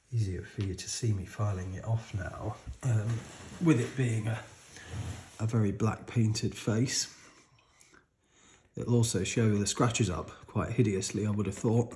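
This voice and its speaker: A somewhat breathy man with a British accent, moderate pace, fairly even intonation and long, frequent pauses. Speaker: watch modding hobbyist. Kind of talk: tutorial. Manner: halting.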